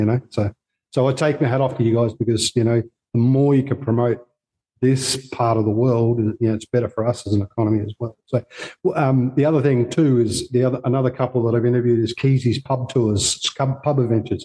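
Speaking at a fairly quick pace, a man with a medium pitch and a dark, mellow, somewhat breathy tone keeps his intonation fairly even and his loudness very even, in a dry, close sound with no echo. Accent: Australian. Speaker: podcast host interviewing travellers. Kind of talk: casual interview.

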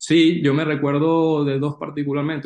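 A man talks at a fairly slow pace. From Venezuela. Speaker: sports business analyst. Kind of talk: interview. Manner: halting, many repeated words.

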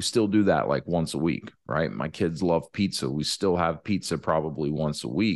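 Against a quiet background, a man with a very deep, low pitch speaks at a moderate pace with hardly any pauses, ordinary pitch variation and vocal fry. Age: 30s. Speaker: podcast host and franchise consultant. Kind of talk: casual solo monologue. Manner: casual with many fillers.

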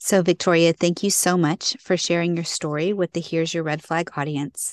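A woman with an unremarkable speaking voice, fairly low in pitch and fairly even in intonation, recorded with a dry, close sound that has no echo. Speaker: podcast co-host. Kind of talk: casual interview chat.

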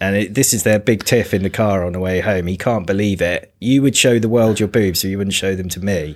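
With a British accent, a man talks at a fairly quick pace and fairly low pitch, keeping his intonation fairly even and hardly pausing. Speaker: podcast host. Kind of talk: casual chat.

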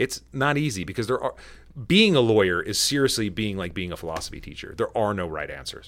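Using vocal fry and very wide pitch swings, a man speaks at a fairly quick pace on a very clean recording with a silent background. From United States. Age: 40s. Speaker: lawyer and podcast co-host. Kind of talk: casual chat.

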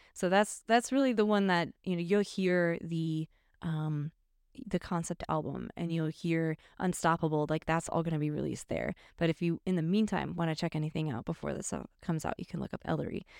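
A woman with an American accent and an unremarkable speaking voice talks at a fairly quick pace, her pitch fairly low. The recording is very clean, with a silent background and a dry, close sound with no echo. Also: ordinary pitch variation. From US Midwest, northern Illinois (Chicago suburbs). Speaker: musician. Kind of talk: casual interview chat. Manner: laughs often.

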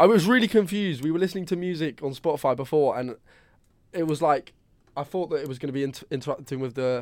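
A man with a southern English accent at a very fast pace, in a very clean recording with a silent background. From southern England, Brighton. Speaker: podcast co-host. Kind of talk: casual chat.

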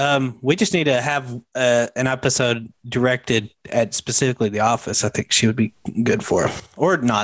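Pitched at a medium level, a man speaks at a moderate pace with ordinary pitch variation and very even loudness. It is an unremarkable speaking voice. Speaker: podcast host. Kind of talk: casual chat.

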